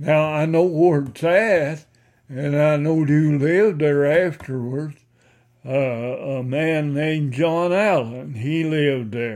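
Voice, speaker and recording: Very slowly, a man speaks in a strong Ozarks accent at a fairly high pitch with ordinary variation. The recording is very clean, with a silent background. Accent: Ozarks rural Southern, strong. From Missouri Ozarks. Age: 80s+. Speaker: oral history interviewee, retired farmer. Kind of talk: oral history interview, reminiscing.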